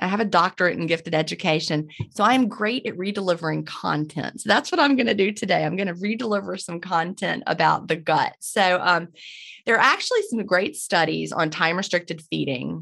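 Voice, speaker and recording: A woman speaks at a medium pitch and fairly quick pace, with vocal fry and ordinary pitch variation. The background is quiet. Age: 50s. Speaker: intermittent fasting educator, former teacher. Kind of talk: interview.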